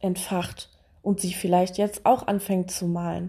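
Dark, mellow tone from a woman, the background quiet. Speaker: podcaster. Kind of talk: personal monologue. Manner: hesitant with many fillers.

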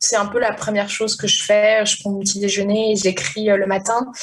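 A woman talks against noticeable background noise. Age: 30s. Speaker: novelist. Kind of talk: interview. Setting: internet call. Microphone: poor internet recording quality.

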